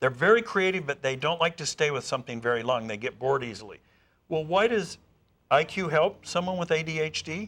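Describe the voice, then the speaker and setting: A man's fairly high voice with lively intonation, moving at a fairly quick pace. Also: very clean recording, silent background. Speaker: speed-reading educator. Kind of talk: interview. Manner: fast.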